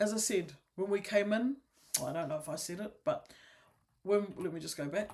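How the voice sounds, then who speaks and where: Mumbled speech at a moderate pace. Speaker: wellbeing teacher. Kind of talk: online class. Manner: mumbling; casual, self-correcting.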